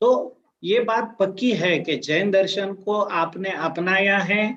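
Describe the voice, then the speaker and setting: With a Marathi accent, a man speaks in a high pitch with ordinary pitch variation. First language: Marathi (speaking Hindi). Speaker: career guidance speaker. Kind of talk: talk to students. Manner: halting with fillers.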